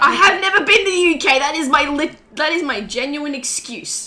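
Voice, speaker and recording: A woman with an Australian accent speaks at a fairly quick pace in a high-pitched, raised and projected voice over noticeable background noise. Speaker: podcast co-host. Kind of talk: casual chat. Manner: teasing, animated.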